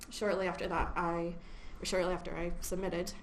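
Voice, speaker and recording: Noticeable background noise and audible room echo surround a woman speaking with an American accent and fairly even intonation. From US Midwest, Chicago. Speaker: research associate. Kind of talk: seminar talk. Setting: seminar room with audience. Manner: hesitant, many fillers.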